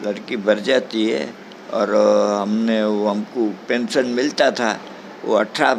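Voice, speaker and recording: Noticeable background noise runs under a man talking with ordinary pitch variation. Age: 80s+. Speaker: old age home resident. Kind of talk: interview. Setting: old age home.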